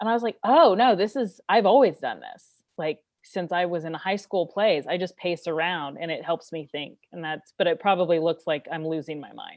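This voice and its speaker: At a moderate pace, a woman talks in a fairly low pitch with ordinary pitch variation and big swings in loudness. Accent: American. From Kansas City, US Midwest. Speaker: stand-up comedian. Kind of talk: stand-up comedy routine, telling a story with punchlines and acted-out quoted dialogue. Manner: animated, comedic storytelling.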